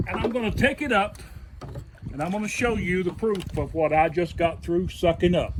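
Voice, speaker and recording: A man with a high pitch and ordinary pitch variation is heard against noticeable background noise. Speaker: DIY video host. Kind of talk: tutorial. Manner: slow.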